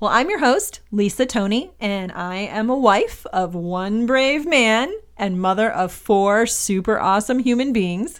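In a very clean recording with a silent background, a woman with a Midwestern American accent talks at a fairly high pitch with lively intonation. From US Midwest, Michigan. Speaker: podcast host, mother. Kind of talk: scripted monologue. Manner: animated.

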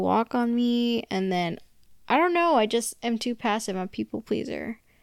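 A woman with an American accent uses a normal speaking voice at a fairly slow pace, with ordinary pitch variation. The sound is dry and close with no echo, on a very clean recording with a silent background. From US, Chinese American family. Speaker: podcast co-host. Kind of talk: casual chat.

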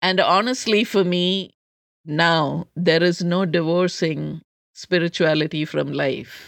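A woman with a Keralan accent, fairly low in pitch, talking at a very slow pace with fairly even intonation. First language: Malayalam. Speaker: public health researcher and life coach. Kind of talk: interview conversation.

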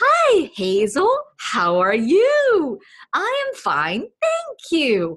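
Putting on a squeaky character voice, a woman speaks at an extremely high pitch and a very slow pace. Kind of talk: sing-song, with wide pitch variety. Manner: exaggerated, slow, overly clear.

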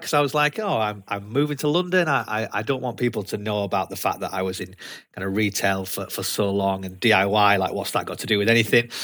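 A man with a Yorkshire accent, medium-pitched and bright and sharp in tone, talking very fast with hardly any pauses and lively intonation. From Leeds, Yorkshire, England. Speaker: sales development rep. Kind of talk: casual interview chat. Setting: video call.

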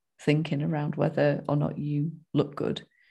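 A woman's very deep, low voice with a dark, mellow tone, vocal fry and a moderate pace. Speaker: podcast co-host, sobriety coach. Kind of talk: casual chat.

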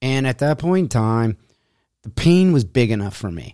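Over a silent background in a very clean recording, a man with a dark, mellow tone speaks at a moderate pace with lively intonation. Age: 50s. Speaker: fitness podcast host. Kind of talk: solo monologue podcast.

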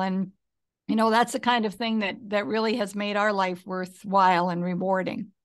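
This is a plain, everyday voice at a moderate pace. Behind it, the background stays quiet. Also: woman. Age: 60s. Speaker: business founder and philanthropist. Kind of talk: casual interview.

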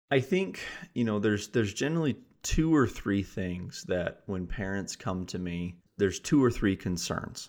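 Over a quiet background, a man with an American accent talks at a fairly quick pace and fairly low pitch. He has an ordinary speaking voice with ordinary pitch variation. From US Midwest, South Dakota. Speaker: mental performance coach. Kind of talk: podcast interview.

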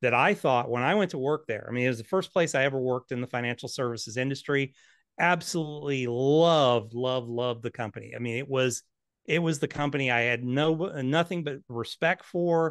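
A man talks at a fairly quick pace in an unremarkable speaking voice. The sound is dry and close with no echo, over a quiet background. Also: medium pitch for a man, ordinary pitch variation. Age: 50s. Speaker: financial planner and author. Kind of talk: casual interview.

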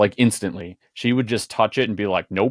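At a moderate pace and with fairly even intonation, a man uses a normal speaking voice in a very clean recording with a silent background and a dry, close sound with no echo. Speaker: podcast co-host and producer. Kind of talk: casual podcast interview.

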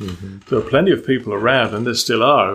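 On a very clean recording with a silent background, a man with an English accent talks at a fairly quick pace. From Malta, British family. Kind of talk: interview.

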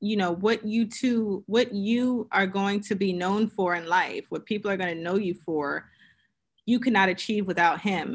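A woman with an American accent and a plain, everyday voice talks at a medium pitch and moderate pace, with ordinary pitch variation and a quiet background. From Queens, New York, also upstate New York and Pennsylvania. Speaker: entrepreneur. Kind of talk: interview.

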